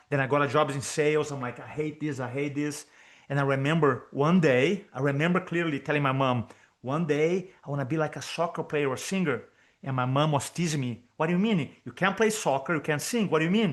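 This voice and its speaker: Over a quiet background, a man with a Brazilian Portuguese accent speaks at a very fast pace in a fairly high pitch with ordinary pitch variation. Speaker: public speaking coach. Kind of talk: podcast interview.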